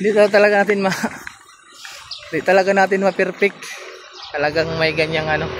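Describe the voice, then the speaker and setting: With a Visayan accent, a man with a high voice talks at a fairly quick pace with fairly even intonation, long, frequent pauses and noticeable background noise. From Visayas, Philippines. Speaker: truck driver vlogger. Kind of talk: casual vlog talk and negotiation.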